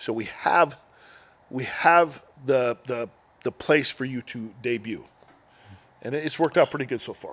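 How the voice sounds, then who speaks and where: Using a medium pitch with ordinary pitch variation, a man talks at a moderate pace with big swings in loudness and long, frequent pauses. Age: 50s. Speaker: wrestling company owner and trainer. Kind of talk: interview. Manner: halting, many repeated words.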